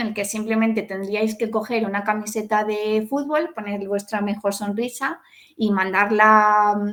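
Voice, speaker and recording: A woman with an unremarkable speaking voice and a fairly high pitch speaks at a fairly slow pace with hardly any pauses. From Spain, Salamanca. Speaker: pedagogue, hospital education specialist. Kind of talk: online talk to an audience.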